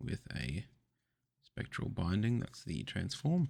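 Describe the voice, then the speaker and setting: Soft-spoken and with vocal fry, a man talks at a fairly slow pace. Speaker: trading card unboxer. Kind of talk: ASMR card opening.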